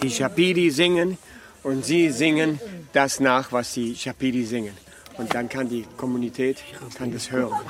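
A man talks at a moderate pace in a medium pitch, with long, frequent pauses. Noticeable background noise is present. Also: ordinary pitch variation. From Venezuela, German emigrant family. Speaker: expedition tour operator and interpreter. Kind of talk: interview and live interpreting. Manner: halting.

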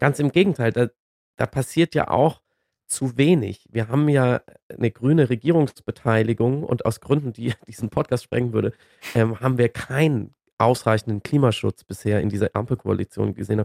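At a moderate pace and medium pitch, a man talks in a normal speaking voice with ordinary pitch variation, the sound dry and close with no echo. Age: 40s. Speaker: climate debate commentator. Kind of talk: casual chat.

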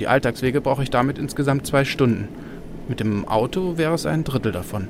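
Amid noticeable background noise, a man with a medium-pitched voice and lively intonation speaks at a fairly quick pace. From Berlin. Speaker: radio reporter. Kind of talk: narrated radio feature.

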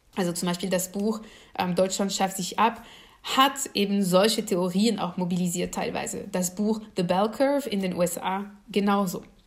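A woman speaks at medium pitch, with audible room echo around her voice. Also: fairly even intonation, moderate pace. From France. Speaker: political scientist. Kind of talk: lecture.

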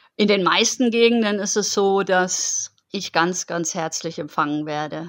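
At a moderate pace, a woman speaks at medium pitch in an unremarkable speaking voice. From Germany, Heidelberg. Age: 40s. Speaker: long-distance cycling traveller. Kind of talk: interview.

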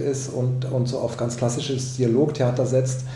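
A man with a medium-pitched voice speaks at a moderate pace, with audible room echo and noticeable background noise. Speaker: film, opera and theatre director. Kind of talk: radio interview. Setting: pre-recorded radio interview. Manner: hesitant, with filler sounds.

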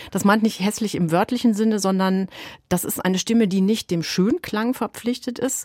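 Using a normal speaking voice, a woman talks at medium pitch and a moderate pace with ordinary pitch variation, the sound dry and close with no echo. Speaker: music radio journalist. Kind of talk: radio conversation.

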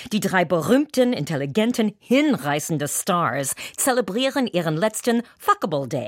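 Very slowly, a woman speaks with very wide pitch swings on a very clean recording with a silent background. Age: 60s. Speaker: entertainer and actress. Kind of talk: scripted opinion commentary. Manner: animated.

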